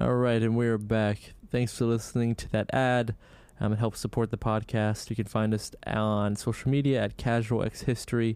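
A man talks at a moderate pace with monotone, flat intonation. The recording is very clean, with a silent background. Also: medium pitch for a man. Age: 20s. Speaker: podcast co-host. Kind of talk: casual chat.

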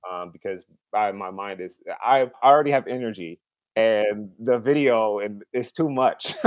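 He has an ordinary speaking voice with an American accent, pitched fairly low. His pace is moderate and his pitch varies in an ordinary way. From Seattle, US West Coast. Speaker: podcast guest. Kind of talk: casual chat.

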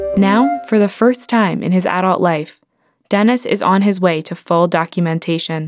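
An ordinary speaking voice, moderately paced, its pitch varying in an ordinary way. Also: woman. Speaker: radio reporter. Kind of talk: scripted narration.

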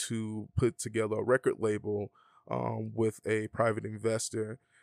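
In a very clean recording with a silent background and a dry, close sound with no echo, a man with an Atlanta accent talks at a medium pitch and a moderate pace. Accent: Atlanta, US South. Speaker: DJ and music producer. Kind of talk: casual interview. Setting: studio.

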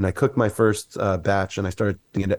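On a very clean recording with a silent background, a man with a plain, everyday voice talks at a fairly quick pace. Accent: American. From US South, Mississippi. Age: 40s. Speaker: wellness coach and musician. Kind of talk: casual chat.

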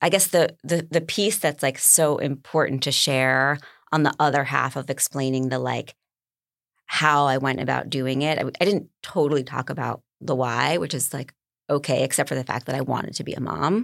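Vocal fry in an American accent, at a moderate pace with ordinary pitch variation, on a very clean recording over a silent background. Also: woman, very deep, low pitch for a woman. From New York. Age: 40s. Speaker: single mother by choice. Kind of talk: casual chat.

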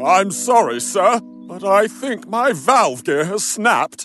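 A man's put-on character voice, high-pitched and fairly slow, over faint music in the background. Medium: audio drama. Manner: proud, showy.

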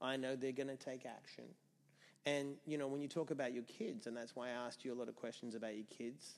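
Speaking at a fairly quick pace, a man with an Australian accent keeps his medium-pitched voice fairly even in intonation. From Australia (Perth). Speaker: entrepreneur and sobriety mentor. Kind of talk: casual interview.

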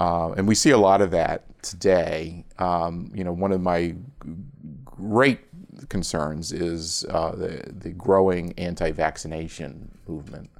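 A man talks at a fairly slow pace in a very deep, low pitch with ordinary pitch variation. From Philadelphia area, US. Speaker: nurse and medical expert. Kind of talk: casual interview chat.

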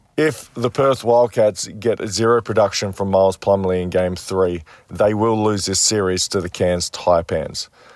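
A man with an Australian accent, fairly low-pitched, at a moderate pace, with fairly even intonation and hardly any pauses. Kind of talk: prepared sports commentary segment.

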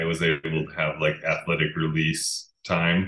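In an American accent, a man speaks very slowly with a flat, monotone delivery. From Utah. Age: 30s. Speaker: pro skier. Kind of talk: casual interview chat. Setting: at home, remote call.

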